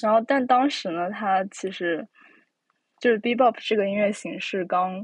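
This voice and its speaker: Against a quiet background, a woman's pitch varies in an ordinary way. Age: young. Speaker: podcast host. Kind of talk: casual chat. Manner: hesitant, many fillers.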